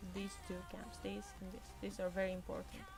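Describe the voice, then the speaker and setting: Someone speaks with a non-native accent while music plays in the background. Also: woman. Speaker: gamer. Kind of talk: gameplay tutorial commentary.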